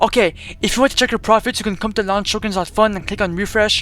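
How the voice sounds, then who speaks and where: The speaker is a man with a high voice. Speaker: crypto YouTuber. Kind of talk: screen-recorded tutorial. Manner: fast; animated.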